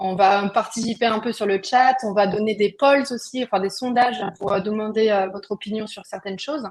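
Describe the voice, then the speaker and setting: Speaking at a moderate pace, a woman uses a fairly high pitch. Her intonation is fairly even. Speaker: webinar host, procurement software founder. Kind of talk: live webinar hosting. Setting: online video webinar. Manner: hesitant, many filler words.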